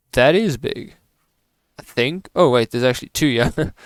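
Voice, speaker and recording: A man talks at a medium pitch with lively intonation. The sound is dry and close, with no echo. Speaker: gaming video creator. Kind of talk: gameplay commentary. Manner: loud; casual, hesitant with fillers.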